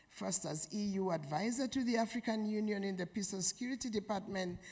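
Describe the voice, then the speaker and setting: The voice sounds somewhat breathy and shows ordinary pitch variation. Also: woman. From Uganda. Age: 70s. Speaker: peace and security advisor. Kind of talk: conference panel talk. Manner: slow.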